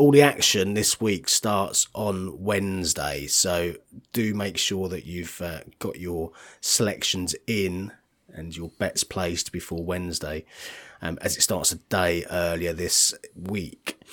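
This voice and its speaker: On a very clean recording with a silent background, a man with a very deep, low pitch talks at a fairly slow pace, with ordinary pitch variation and big swings in loudness. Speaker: golf betting analyst, podcast co-host. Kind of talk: casual chat.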